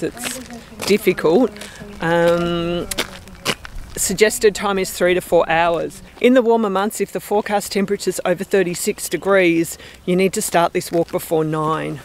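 At a moderate pace and with ordinary pitch variation, a woman speaks in a dry sound with no echo, over light background noise. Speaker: travel vlogger. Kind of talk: casual vlog chat. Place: open country. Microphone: phone near.

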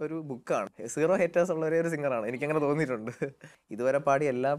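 Ordinary pitch variation marks this man's fairly high voice. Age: young. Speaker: playback singer; guest. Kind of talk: interview. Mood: warm, smiling, admiring. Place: studio. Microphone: lapel.

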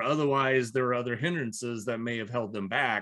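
The background is quiet. A man speaks with an American accent. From US Midwest (Iowa). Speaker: business owner and entrepreneur coach; entrepreneur coach. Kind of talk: interview. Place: home room. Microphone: webcam.

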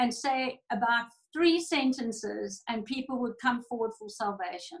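A woman's high voice at a fairly slow pace, with ordinary pitch variation and a quiet background. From South Africa. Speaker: church pastor. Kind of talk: fervent prayer, interceding aloud for the nations, with prophetic declarations; casual interview chat. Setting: video call. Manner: passionate, urgent, pleading, earnest. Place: home room. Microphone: video call.

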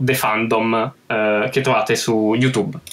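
The speech comes at a fairly slow pace with fairly even intonation. Noticeable background noise is present. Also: man. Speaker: caller. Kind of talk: casual chat. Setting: voice call.

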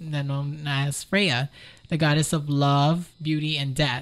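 With a very deep, low pitch and an American accent, a woman speaks with fairly even intonation in a very clean recording against a silent background. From US South, Miami, Florida. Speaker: model. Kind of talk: casual chat.

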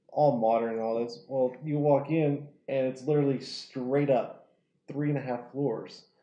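With an American accent, a man speaks at a fairly slow pace and medium pitch in a monotone, flat intonation, with audible room echo. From Oklahoma, small town. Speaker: window tint installer; podcast guest. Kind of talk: casual chat. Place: home room. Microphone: lapel.

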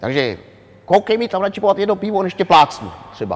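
A man does a loud, nasal, put-on character voice pitched high. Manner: loud, brisk, forceful.

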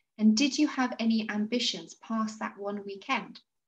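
A woman talks at a moderate pace. Her pitch sits fairly high. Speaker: podcast host. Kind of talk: casual interview. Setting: video call. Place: home room. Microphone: video call.

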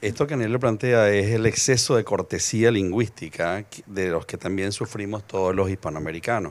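An unremarkable speaking voice, a man's, fairly low in pitch, at a moderate pace with ordinary pitch variation and hardly any pauses. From Venezuela. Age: 60s. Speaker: lexicographer; speaker. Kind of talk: panel discussion. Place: garden. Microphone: handheld.

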